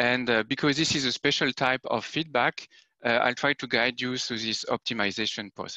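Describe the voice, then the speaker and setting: A man speaks with a French accent and fairly even intonation. The background is quiet. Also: medium pitch for a man, moderate pace. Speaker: application scientist giving a tutorial. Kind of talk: technical tutorial. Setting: video conference. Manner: hesitant with frequent fillers.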